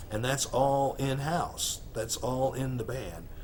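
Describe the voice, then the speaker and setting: Audible room echo surrounds a man speaking at medium pitch with an American accent. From US Midwest, Missouri Ozarks. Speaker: rock musician. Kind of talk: interview. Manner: halting, many fillers and repeats.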